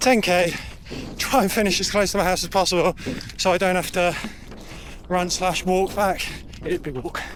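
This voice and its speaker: A man's high-pitched voice at a moderate pace, fairly even in intonation, with long, frequent pauses and noticeable background noise. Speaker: amateur runner vlogger. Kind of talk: casual vlog while running. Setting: outdoors on a run.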